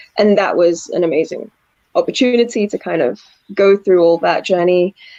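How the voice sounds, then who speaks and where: A woman's medium-pitched voice in a slight northern English accent, dark and mellow in tone, with ordinary pitch variation and a moderate pace. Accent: slight northern English twang. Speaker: actress. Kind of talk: interview. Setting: video call.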